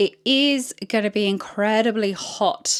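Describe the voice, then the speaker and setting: A woman speaks with a British accent and ordinary pitch variation. The recording is very clean, with a silent background. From UK. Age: 30s. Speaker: fashion content creator. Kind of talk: try-on haul vlog. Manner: chatty, enthusiastic.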